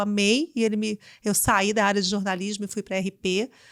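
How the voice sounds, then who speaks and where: A fairly high-pitched woman with a strong Carioca accent is heard in dry, close sound with no echo on a very clean recording over a silent background. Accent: carioca accent, still strong. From Rio de Janeiro, Brazil. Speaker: business executive. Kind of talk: interview.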